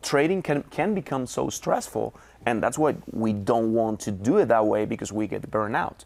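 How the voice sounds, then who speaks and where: A man speaks with a Spanish accent in a medium pitch. His intonation is lively, and his pace is moderate. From Venezuela, Caracas. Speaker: trader. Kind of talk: interview. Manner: halting.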